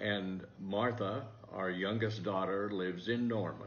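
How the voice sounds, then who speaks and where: A man with an American accent speaks at a fairly slow pace and a fairly low pitch. Music plays in the background, and the room echo is audible. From US Midwest, southwestern Iowa. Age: 80s+. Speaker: retired teacher. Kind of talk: interview.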